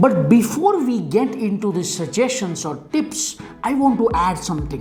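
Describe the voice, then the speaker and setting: With a Marathi accent, the speaker talks at a fairly slow pace with very wide pitch swings. Music plays in the background, and room echo is audible. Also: woman. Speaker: Spanish language teacher. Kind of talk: tutorial.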